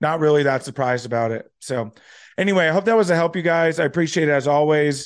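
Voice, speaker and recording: A man with a plain, everyday voice at a fairly high pitch with ordinary pitch variation, at a fairly quick pace over a quiet background. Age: 30s. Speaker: finance podcast host. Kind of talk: solo commentary on current events. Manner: casual, many filler words.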